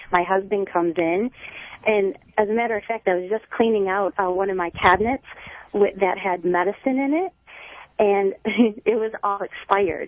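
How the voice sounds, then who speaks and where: Pausing long and often, a woman speaks at a moderate pace in a medium pitch with ordinary pitch variation. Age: 40s. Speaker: hairdresser. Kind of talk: testimony. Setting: phone call.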